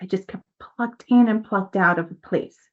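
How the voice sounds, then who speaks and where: An animated, fairly high-pitched woman's voice with ordinary pitch variation. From New York City and Dominican Republic. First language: Spanish. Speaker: mindset coach, nonprofit founder. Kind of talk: podcast interview, personal story.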